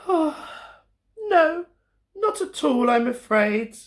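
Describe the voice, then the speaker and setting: A man uses a put-on character voice at an extremely high pitch. He talks at a very slow pace. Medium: read story. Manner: gentle, polite.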